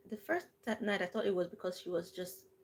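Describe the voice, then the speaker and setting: A soft-spoken, somewhat breathy woman at a fairly quick pace. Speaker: livestream host. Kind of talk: live storytelling to viewers. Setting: live stream. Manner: calm.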